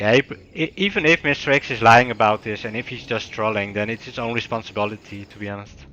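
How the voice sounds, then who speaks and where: A man with a non-native accent talks at a very fast pace with hardly any pauses, at a medium pitch, with ordinary pitch variation and big swings in loudness. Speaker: game caster. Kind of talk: live commentary.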